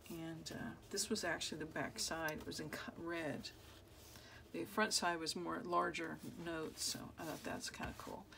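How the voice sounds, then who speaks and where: Loud and mumbling, a woman with vocal fry and a bright, sharp tone speaks at a fairly low pitch and moderate pace, with audible room echo. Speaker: crafter, journal maker. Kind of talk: casual crafting tutorial. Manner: mumbling, thinking out loud.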